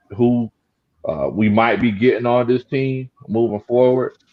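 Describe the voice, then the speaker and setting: A man with a strong Southern US accent speaks at a moderate pace in a medium pitch. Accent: Southern country accent, strong. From South Carolina Lowcountry (Gullah Geechee). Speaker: sports YouTuber, football commentator. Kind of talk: casual sports talk livestream. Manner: trying to speak clearly.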